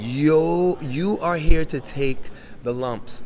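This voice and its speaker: A man speaks against noticeable background noise. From New York, Jamaican heritage. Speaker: crypto entrepreneur. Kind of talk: interview. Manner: animated.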